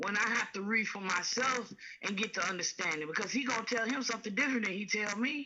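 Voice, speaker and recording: With noticeable background noise behind her, a woman speaks at a fairly quick pace in a fairly high pitch with ordinary pitch variation. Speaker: caller. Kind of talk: phone-in conversation.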